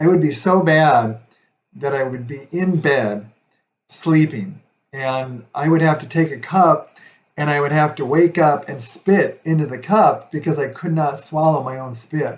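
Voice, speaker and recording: A man's somewhat breathy voice at a fairly slow pace, with ordinary pitch variation and big swings in loudness. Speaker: video blogger sharing chronic illness story. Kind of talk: personal testimony. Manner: hesitant, many fillers.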